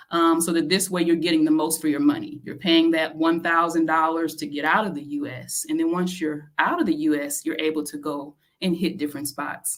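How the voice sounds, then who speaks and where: A woman with a plain, everyday voice, fairly low in pitch, speaks at a moderate pace with ordinary pitch variation. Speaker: podcast co-host. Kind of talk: casual tips talk.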